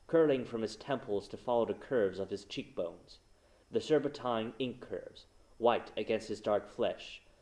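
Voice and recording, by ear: The voice reads aloud naturally.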